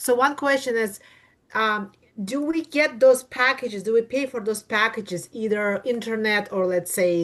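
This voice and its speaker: A woman with a Russian accent, fairly high pitch and lively intonation at a moderate pace. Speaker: attendee asking questions. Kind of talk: Q&A questions.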